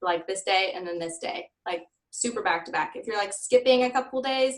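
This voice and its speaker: A woman has an ordinary speaking voice, pitched fairly high with ordinary pitch variation. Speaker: Instagram influencer teaching a class. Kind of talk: workshop talk to a small group. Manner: casual, filler-heavy.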